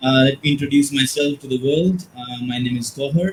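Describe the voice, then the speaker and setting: A man speaks quietly in a fairly high voice. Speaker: teacher educator. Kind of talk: webinar presentation. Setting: live online webinar. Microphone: too quiet.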